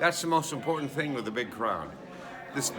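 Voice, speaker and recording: A man speaks at a fairly high pitch, with audible room echo. Noticeable background noise runs underneath. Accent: American. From US Midwest, west suburban Chicago. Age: 60s. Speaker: wedding guest, parent of the couple. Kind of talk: on-camera review interview.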